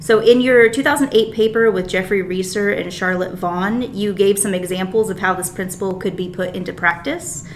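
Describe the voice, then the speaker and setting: Over light background noise, a woman speaks at a moderate pace with ordinary pitch variation and hardly any pauses. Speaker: graduate student interviewer. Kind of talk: interview. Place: meeting room. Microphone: camera far.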